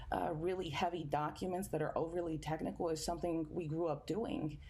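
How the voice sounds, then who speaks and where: A woman with a Spanish accent speaks in a fairly low pitch and a dark, mellow tone, with audible room echo. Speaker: environmental justice activist. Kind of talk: panel discussion.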